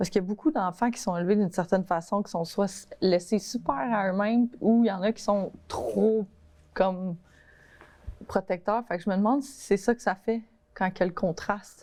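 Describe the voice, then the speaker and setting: With a dark, mellow tone and medium pitch, a woman speaks at a moderate pace, using ordinary pitch variation and big swings in loudness. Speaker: host's daughter. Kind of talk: casual chat. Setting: studio.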